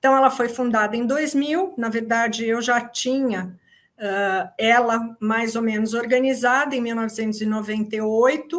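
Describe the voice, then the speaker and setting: A woman speaks with an unremarkable speaking voice, fairly high in pitch and fairly even in intonation. She goes at a fairly slow pace in a very clean recording with a silent background. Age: 60s. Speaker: psychologist and essential oil company founder. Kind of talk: workshop talk.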